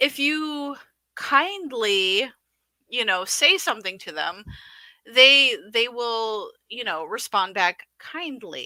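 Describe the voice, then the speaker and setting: Very slowly, a woman with a northern US accent speaks in a high, bright, sharp tone. Her pitch swings very widely and her loudness in big swings. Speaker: podcast co-host. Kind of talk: casual livestream commentary.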